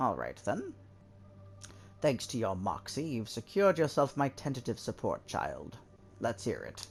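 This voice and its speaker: In a put-on character voice, the speaker goes at a moderate pace with long, frequent pauses, and background noise is clearly heard. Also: man, medium pitch for a man. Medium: game stream. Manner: dry, sardonic, patronizing.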